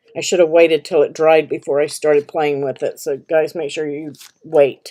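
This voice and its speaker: A woman speaks at a moderate pace in a monotone, flat way. Her pitch is very deep and low, with a dark, mellow tone. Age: 60s. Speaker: crafting channel host. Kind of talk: live stream craft tutorial and Q&A. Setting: live stream. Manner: casual, with many fillers and restarts.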